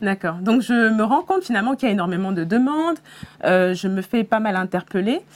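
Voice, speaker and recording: A woman's fairly high voice at a fairly quick pace, lively in intonation, over noticeable background noise. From Senegal. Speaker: career content creator. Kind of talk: interview.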